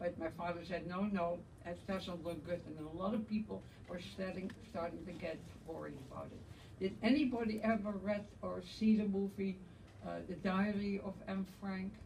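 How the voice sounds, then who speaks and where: A woman's medium-pitched voice in a Dutch accent, moderate in pace and fairly even in intonation, with noticeable background noise and audible room echo. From Netherlands, Amsterdam. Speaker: Holocaust survivor. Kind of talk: testimony.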